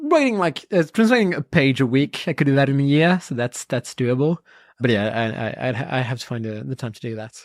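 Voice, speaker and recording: Speaking very fast with a French accent, a woman uses a very deep, low pitch, lively intonation and big swings in loudness, in a dry, close, very clean recording with no echo and a silent background. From France. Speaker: comic book scholar and podcaster. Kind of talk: casual interview chat. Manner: halting, with many repeated words.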